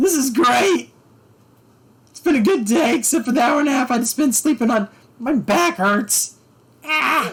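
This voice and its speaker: A put-on character voice at a fairly high pitch and moderate pace, broken by long, frequent pauses. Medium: actual play. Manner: earnest, warm.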